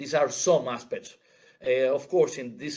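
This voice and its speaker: This man keeps a moderate pace. Lively intonation runs through his speech. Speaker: conference speaker. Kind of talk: conference presentation. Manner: halting, many repetitions and fillers.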